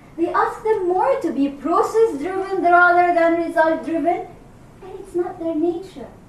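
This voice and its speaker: Speaking at a fairly slow pace, a woman with an extremely high voice is heard with audible room echo. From Egypt. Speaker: executive coach. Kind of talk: workshop discussion. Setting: room with audience.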